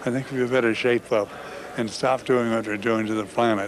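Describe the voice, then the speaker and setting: Amid noticeable background noise, a man speaks at a moderate pace in a medium pitch with fairly even intonation. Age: 80s. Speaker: environmental activist. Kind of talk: interview. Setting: convention floor.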